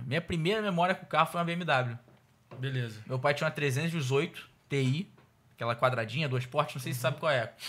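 The man's voice sits fairly high and shows ordinary pitch variation. He keeps a moderate pace. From Rio de Janeiro. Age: 20s. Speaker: car salesman. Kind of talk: casual interview. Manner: animated. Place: studio. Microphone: studio mic.

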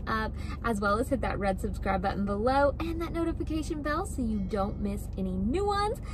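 A woman talks at a fairly quick pace. The sound is dry with no echo, though background noise is noticeable. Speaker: lifestyle vlogger. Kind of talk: casual vlog chat. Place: car. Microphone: phone near.

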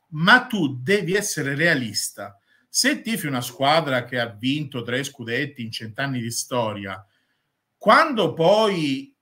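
Over a quiet background, a man talks fairly slowly in a bright, sharp voice with very wide pitch swings. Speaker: football YouTuber and Inter fan. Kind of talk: angry rant, scornful football commentary. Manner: loud, indignant, sarcastic. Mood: polemical, teasing rival fans.

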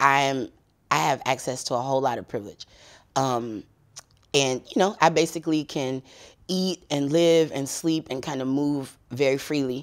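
A man with an American accent, fairly high pitch and ordinary pitch variation, at a moderate pace with long, frequent pauses, against a quiet background. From Texas. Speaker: activist organizer; interview guest. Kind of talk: interview. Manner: hesitant, many fillers. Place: home room. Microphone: lapel.

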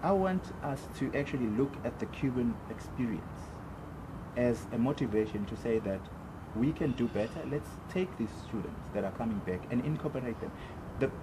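Noticeable background noise surrounds a man's speech. He leaves long, frequent pauses. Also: moderate pace. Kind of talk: interview answer. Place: open country. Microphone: camera far.

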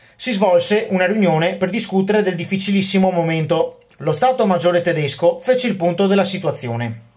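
A man's high voice in a Venetian accent, at a fairly quick pace with hardly any pauses and ordinary pitch variation. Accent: Venetian-accented Italian. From Veneto, Venice. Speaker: history YouTuber. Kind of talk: educational monologue about military history. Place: home room. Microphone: phone near.

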